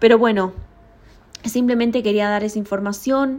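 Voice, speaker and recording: This woman speaks at a fairly high pitch. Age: 30s. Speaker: podcaster. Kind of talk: casual solo monologue.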